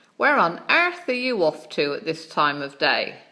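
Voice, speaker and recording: A female-sounding voice puts on a character voice. It sits fairly low in pitch for a woman and moves at a moderate pace. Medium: read story.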